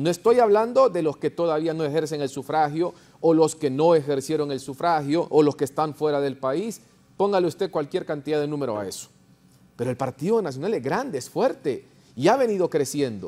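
Lively intonation and a dark, mellow tone mark this man's speech at a fairly quick pace. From Honduras. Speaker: party politician. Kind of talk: political talk show panel. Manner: interrupts heatedly at times. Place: studio. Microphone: lapel.

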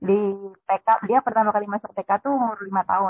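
A woman's voice is heard against a quiet background, with a dry sound and no echo. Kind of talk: casual question and personal story. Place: home room. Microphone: video call.

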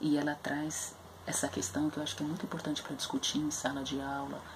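There is noticeable background noise. Through it, a woman speaks with a very deep, low voice. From Brazil, São Paulo periphery (Capão Redondo). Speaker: literature educator presenting books. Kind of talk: educational book review video. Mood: earnest, thoughtful. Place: home room. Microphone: webcam.

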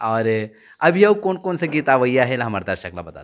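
His intonation is lively throughout. The man keeps a moderate pace. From Chhattisgarh, India. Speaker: YouTube interviewer. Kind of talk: interview. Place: home room. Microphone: handheld.

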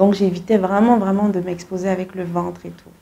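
Her tone is dark and mellow. The woman keeps a moderate pace and fairly even intonation. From Cameroon. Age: 30s. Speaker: singer; guest. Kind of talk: interview. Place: studio. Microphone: lapel.

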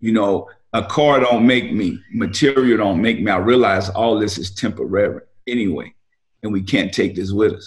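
Speaking at a fairly slow pace, a man with a fairly low pitch and ordinary pitch variation comes through over a quiet background. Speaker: remote guest. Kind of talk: interview answer. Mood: reflective, advising. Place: home room. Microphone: video call.

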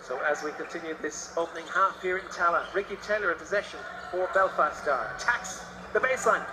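Over noticeable background noise, a man speaks at a fairly quick pace in an excited tone. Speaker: basketball commentator. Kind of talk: live sports commentary. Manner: fast, excited play-by-play; crisp, rising on big scores.

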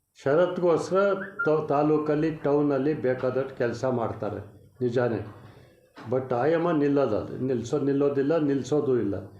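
A man with a fairly high pitch and ordinary pitch variation is heard with audible room echo and noticeable background noise. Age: 80s+. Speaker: veteran politician. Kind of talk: press interview.

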